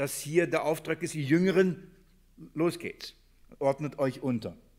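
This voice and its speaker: Over a silent background in a very clean recording, a man speaks with a fairly high pitch. He moves at a fairly slow pace with ordinary pitch variation. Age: 40s. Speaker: church elder and preacher. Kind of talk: bible study sermon. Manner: halting, many fillers and repetitions; earnest.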